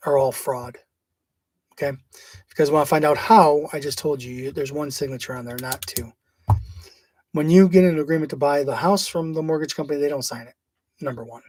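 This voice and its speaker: A man talks with fairly even intonation, big swings in loudness and long, frequent pauses. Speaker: online legal-theory presenter. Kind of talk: informal video talk. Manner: fast; casual, hesitant.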